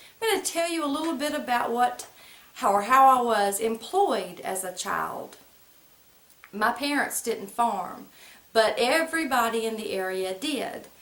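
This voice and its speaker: A high-pitched woman with an American accent and lively intonation, with noticeable background noise and audible room echo. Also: fairly slow pace. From US South, central North Carolina (Moore/Lee County). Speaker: vlogger. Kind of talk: casual storytelling monologue. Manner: conversational, folksy vernacular.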